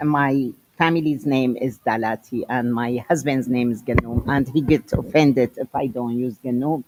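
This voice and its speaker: A woman with a strong Syrian accent, fairly slow pace and ordinary pitch variation. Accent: heavy Syrian Arabic. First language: Arabic. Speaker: educator and guest speaker. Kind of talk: lecture.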